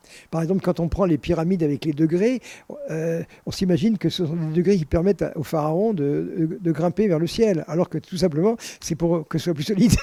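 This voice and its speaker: A man with a high pitch and ordinary pitch variation talks at a fairly quick pace, with a dry, close sound and no echo. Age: 80s+. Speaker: scientist. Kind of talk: casual interview conversation.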